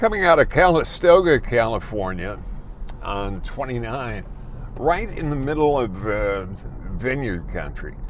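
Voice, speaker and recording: Fairly slow and with an American accent, a man's voice makes very wide pitch swings amid noticeable background noise and audible room echo. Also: medium pitch for a man. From US Midwest, Chicago. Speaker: car reviewer. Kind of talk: car review while driving.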